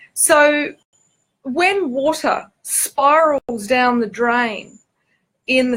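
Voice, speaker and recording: In an Australian accent, a woman talks with a high pitch and ordinary pitch variation. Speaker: spiritual teacher and author. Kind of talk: informal spiritual talk to camera. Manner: hesitant, many fillers (um, okay).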